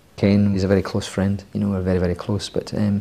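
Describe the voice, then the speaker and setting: The speaker has a strong Scottish accent. The pace is fairly quick. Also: man. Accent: Scottish, thick. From Scotland. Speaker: screenwriter. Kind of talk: interview.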